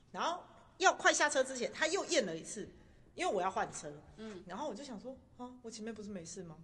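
Talking at a very fast pace, a woman with a bright, sharp tone and fairly high pitch makes very wide pitch swings and big swings in loudness. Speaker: podcast host sharing travel stories. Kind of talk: casual chat.

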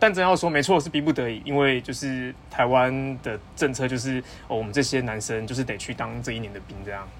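A man's medium-pitched, normal speaking voice at a fairly quick pace, with hardly any pauses, ordinary pitch variation and big swings in loudness. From Taiwan. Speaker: PhD student. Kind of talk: casual chat.

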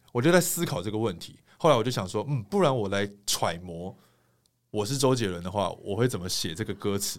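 The speaker is a man with a fairly low pitch. He talks at a fairly quick pace with lively intonation. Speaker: singer and TV host. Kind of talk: casual interview chat.

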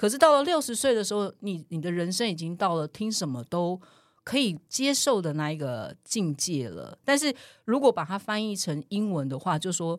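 A woman speaks at a medium pitch with very wide swings in her intonation. The recording is very clean, with a silent background. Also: moderate pace. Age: 40s. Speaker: podcast co-host. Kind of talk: casual chat.

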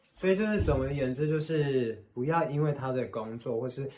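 Noticeable background noise sits behind a man's voice. He talks at a fairly quick pace with ordinary pitch variation. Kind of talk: casual chat.

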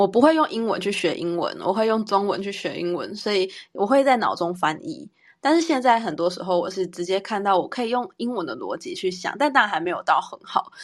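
Against a quiet background, a woman talks at a fairly quick pace, her pitch swinging very widely. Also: medium pitch for a woman. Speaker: podcast co-host, teacher. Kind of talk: casual chat.

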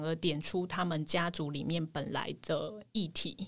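Her fairly low voice is an unremarkable speaking voice. The woman talks at a fairly slow pace with ordinary pitch variation. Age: 30s. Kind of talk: casual interview chat.

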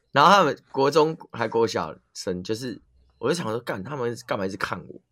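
Here a man's bright, sharp voice sits at a medium pitch and makes very wide pitch swings. The recording is very clean, with a silent background. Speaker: podcast co-host. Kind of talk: casual chat.

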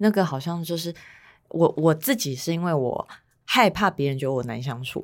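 A woman's normal speaking voice, fairly low in pitch, with lively intonation and a moderate pace, on a very clean recording over a silent background. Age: 30s. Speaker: podcast co-host. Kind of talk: casual chat.

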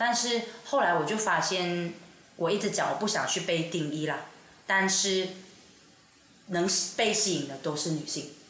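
With long, frequent pauses and a fairly slow pace, a woman speaks at a fairly low pitch with ordinary pitch variation, amid audible room echo and noticeable background noise. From Sabah, East Malaysia. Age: 20s. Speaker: performing artist. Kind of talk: casual chat.

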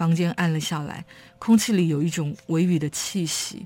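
Over music in the background, a woman talks at a moderate pace with a fairly low pitch. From Taiwan, Kaohsiung. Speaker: writer. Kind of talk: interview; reading aloud. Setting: studio.

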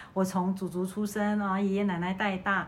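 Audible room echo surrounds a woman who speaks fairly quickly at a medium pitch. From Malaysia. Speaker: podcast host, teacher. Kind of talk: casual chat.

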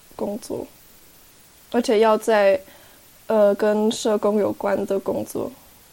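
Speaking at a very slow pace, a woman has a dark, mellow tone at a medium pitch. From Switzerland. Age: 20s. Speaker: young intern, half-Taiwanese guest. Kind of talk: casual interview conversation.

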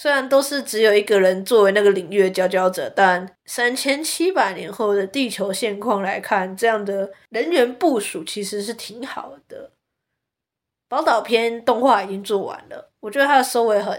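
A woman in a Taiwanese accent, fairly high-pitched and animated in tone, at a moderate pace with big swings in loudness. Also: ordinary pitch variation, very clean recording, silent background. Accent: Taiwanese Mandarin. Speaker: podcast host. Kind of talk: casual monologue.

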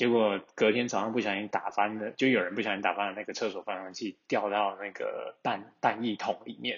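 A man talks at a fairly quick pace in a fairly low, monotone voice with flat intonation and hardly any pauses. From Taiwan, Taichung. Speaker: listener sending a voice message. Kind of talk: recorded voice message, storytelling.

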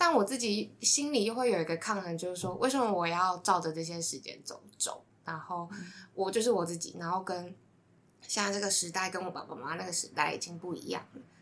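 This woman has an unremarkable speaking voice at a medium pitch, with ordinary pitch variation. She talks at a fairly quick pace, and her loudness swings widely. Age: 20s. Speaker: podcast team member, social media. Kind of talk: casual chat.

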